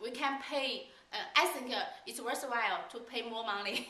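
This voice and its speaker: A woman speaks with a Chinese accent at a fairly high pitch. Noticeable background noise and audible room echo surround her voice. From China. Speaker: language school staff. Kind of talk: casual interview. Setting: on camera. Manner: halting.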